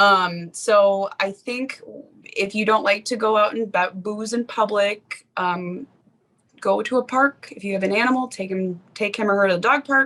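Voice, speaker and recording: A loud woman's voice, bright and sharp, medium in pitch, with ordinary pitch variation at a moderate pace. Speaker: podcast host. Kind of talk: casual chat.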